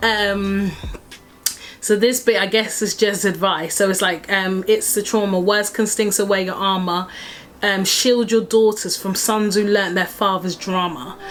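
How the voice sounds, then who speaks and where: Over noticeable background noise, a woman speaks at a medium pitch and a fairly slow pace. Her intonation is monotone and flat. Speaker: singer-songwriter vlogger. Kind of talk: casual vlog explaining her song lyrics. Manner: hesitant, many fillers.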